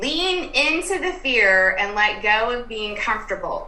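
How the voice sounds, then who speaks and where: With music in the background, a speaker with an American accent talks at a fairly slow pace. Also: woman. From US South, Durham, North Carolina. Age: 40s. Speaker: life coach. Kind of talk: interview.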